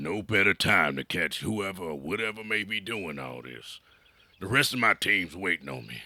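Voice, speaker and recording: Putting on a character voice, a man sounds raspy and very deep, with very wide pitch swings at a moderate pace. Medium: audio drama. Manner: halting, filler-heavy folksy speech.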